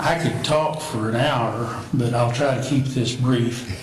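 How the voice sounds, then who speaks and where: With an American accent, the speaker talks at a fairly slow pace in a monotone, flat intonation, amid audible room echo and noticeable background noise. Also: man. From Oklahoma, Cushing area. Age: 70s. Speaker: city commissioner candidate. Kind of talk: interview.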